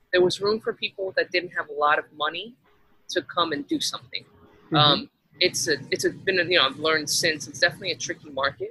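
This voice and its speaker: A woman's fairly low voice with an American accent at a very fast pace, dry and close with no echo. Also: ordinary pitch variation. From Texas. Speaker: restaurant owner. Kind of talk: interview. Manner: halting.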